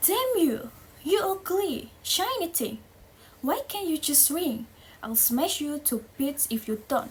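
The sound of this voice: Using a put-on character voice, a woman talks slowly in a high pitch with big pitch swings.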